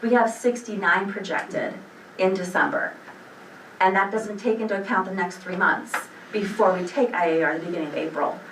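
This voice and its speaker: Lively intonation from a woman at medium pitch, amid audible room echo and noticeable background noise. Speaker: school administrator. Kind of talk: board meeting report. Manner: fast; animated.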